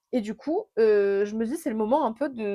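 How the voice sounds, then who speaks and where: A woman's fairly high voice, dark and mellow in tone, with ordinary pitch variation. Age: 20s. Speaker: podcaster. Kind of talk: casual monologue. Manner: fast; hesitant fillers.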